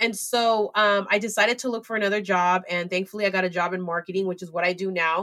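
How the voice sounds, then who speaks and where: With a Californian accent, a woman at medium pitch speaks at a very fast pace with hardly any pauses and fairly even intonation. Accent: Californian American English. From US West Coast, San Francisco Bay Area. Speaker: entrepreneur and community founder. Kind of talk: interview.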